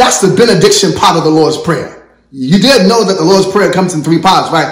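A man speaks at a high pitch in a warm tone with ordinary pitch variation. There is noticeable background noise. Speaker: church prayer director and pastor. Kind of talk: sermon-style thank-you message and closing blessing. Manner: fervent, preacherly, warm and exhortatory.

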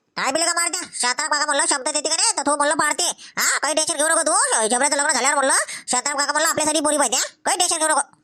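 Using a put-on character voice, a woman talks in a high pitch. Her pace is very fast and her loudness very even. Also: fairly even intonation. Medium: comedy sketch. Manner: chatty, rustic.

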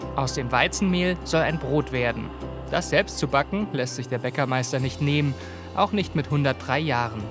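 Over music in the background, a man speaks at a moderate pace. His pitch is medium and his intonation lively. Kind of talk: TV documentary narration.

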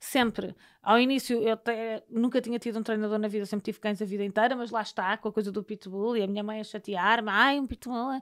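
A woman speaks at a fairly quick pace with hardly any pauses and monotone, flat intonation. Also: fairly high pitch for a woman, quiet background. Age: 30s. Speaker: TV presenter; podcast guest. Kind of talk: casual interview chat. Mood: warm, relaxed. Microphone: studio mic.

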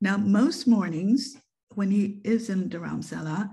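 A woman with an American accent, somewhat breathy and dark, mellow in tone, at a fairly slow pace with ordinary pitch variation and a quiet background. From Japan, then US and UK. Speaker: photographer and author. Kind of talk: online presentation. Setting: video call. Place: home room. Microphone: webcam.

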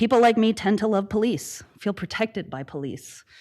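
A woman speaks at a fairly quick pace with ordinary pitch variation. The background is quiet. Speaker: public commenter, PhD candidate. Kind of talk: public comment at council meeting. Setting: city council meeting. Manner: fast.

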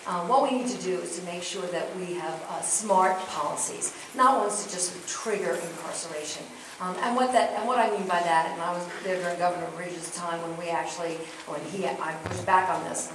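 Over noticeable background noise and audible room echo, a woman speaks fairly quickly in a fairly low voice with ordinary pitch variation. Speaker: candidate. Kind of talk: forum debate answer. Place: hall. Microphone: camera far.

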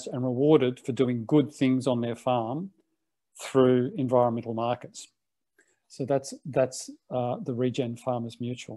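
With an Australian accent, a man speaks in a dark, mellow tone at a fairly slow pace, with fairly even intonation against a quiet background. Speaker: co-op incubator founder; webinar panelist. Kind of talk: online panel presentation. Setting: video call. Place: home room. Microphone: earbuds.

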